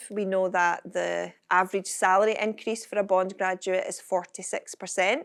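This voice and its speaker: The woman's bright, sharp voice sits at a medium pitch with monotone, flat intonation. She keeps a moderate pace on a very clean recording with a silent background. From Scotland, Kirkcaldy area. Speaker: entrepreneur, founder of a confidence organisation. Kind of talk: fireside chat before live audience. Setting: stage with audience.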